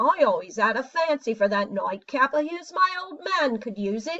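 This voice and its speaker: A woman puts on a character voice with a high pitch. She keeps a moderate pace. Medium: read story.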